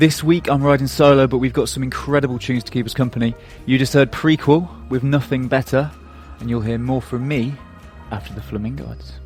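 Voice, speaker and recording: With music in the background, a man of medium pitch talks at a fairly quick pace. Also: ordinary pitch variation. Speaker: radio presenter. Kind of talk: radio show intro.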